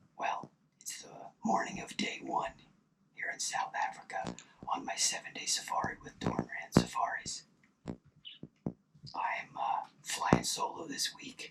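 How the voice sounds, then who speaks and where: A whispering man at a very slow pace, with noticeable background noise. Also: big swings in loudness. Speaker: hunting video creator. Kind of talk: scripted narration. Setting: outdoors in a hunting blind. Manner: soft-spoken.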